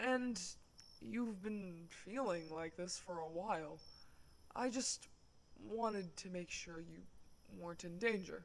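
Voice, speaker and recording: A put-on character voice at middle pitch, fairly slow with long, frequent pauses, over clear background noise. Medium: audio drama. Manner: polite, soft-spoken, dryly humorous.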